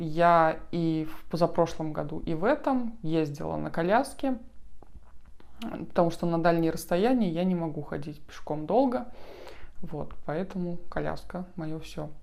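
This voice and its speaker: Speaking at a fairly slow pace, a woman leaves long, frequent pauses. Her intonation is lively. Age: 30s. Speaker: vlogger with muscular dystrophy. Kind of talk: vlog introduction. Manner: hesitant, many fillers.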